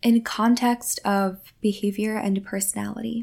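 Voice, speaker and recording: Somewhat breathy and warm in tone, a woman speaks at a fairly slow pace in a very clean recording with a silent background. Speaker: spiritual podcast host and energy healer. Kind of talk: solo monologue, spiritual talk. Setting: home recording at a mic. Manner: warm, conversational, reflective.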